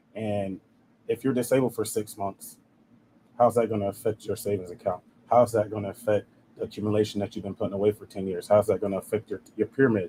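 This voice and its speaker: Very fast and flat in intonation, a man with an American accent speaks at a fairly low pitch in a dark, mellow, somewhat breathy tone, recorded dry and close with no echo. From South Carolina. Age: 20s. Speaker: life insurance agent. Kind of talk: interview. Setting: live stream.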